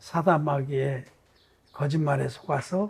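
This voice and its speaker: Speaking at a very slow pace, a man has a dark, mellow tone. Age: 70s. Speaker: pastor. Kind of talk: sermon. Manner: conversational.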